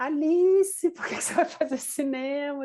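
A woman's voice has a dark, mellow tone and ordinary pitch variation. The background is quiet. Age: 40s. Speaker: film director and producer. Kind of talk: interview. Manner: hesitant, many fillers.

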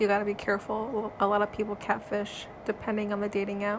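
A woman speaks at a medium pitch. Vocal fry runs through her voice. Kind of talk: casual chat.

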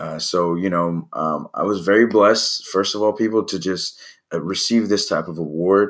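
A man with an American accent speaks at a moderate pace in a fairly low pitch with fairly even intonation, in a very clean recording with a silent background. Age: 30s. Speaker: podcast host, basketball coach. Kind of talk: solo podcast monologue. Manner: halting, many fillers.

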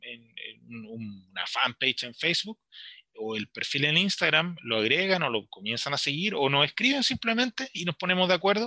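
Here a man speaks at a fairly slow pace with very wide pitch swings and a bright, sharp tone. The recording is very clean, with a silent background and a dry, close sound with no echo. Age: 40s. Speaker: literature teacher and author. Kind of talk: radio interview.

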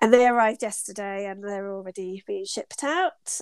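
A woman with a British accent talks at a fairly quick pace in a dry, close sound with no echo. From UK. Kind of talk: casual interview chat. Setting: remote call from her studio.

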